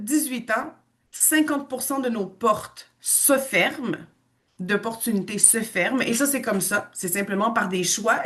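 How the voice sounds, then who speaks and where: In a Quebec accent, the speaker goes at a fairly slow pace with lively intonation. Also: woman. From western Canada, Quebecois parents. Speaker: language school owner and teacher. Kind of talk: online information presentation.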